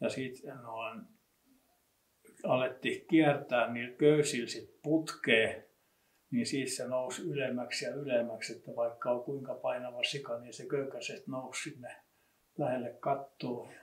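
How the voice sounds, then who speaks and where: A man speaks very slowly at a medium pitch in a somewhat breathy voice. His intonation is fairly even, but his loudness swings widely. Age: old. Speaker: local history expert. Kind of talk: casual reminiscing conversation.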